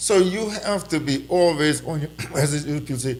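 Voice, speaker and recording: A man speaks loudly in a fairly high pitch. His intonation is lively. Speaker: political commentator. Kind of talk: casual chat. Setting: live stream. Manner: halting.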